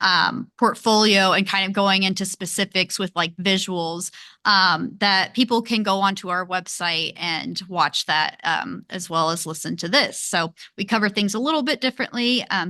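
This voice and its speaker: A woman with a Kentucky accent and a bright, sharp tone, hardly any pauses, over a quiet background. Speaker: podcast host. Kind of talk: podcast interview.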